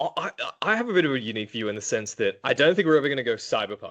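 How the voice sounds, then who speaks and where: A man talks very fast in an Australian accent. His intonation is lively. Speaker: prosecutor. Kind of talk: interview conversation. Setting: podcast. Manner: hesitant, many filler ums.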